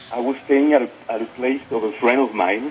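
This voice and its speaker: A man with a French accent speaks at a moderate pace in a medium pitch, with noticeable background noise behind him. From France. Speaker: interview guest. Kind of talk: personal testimony. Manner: halting, many fillers.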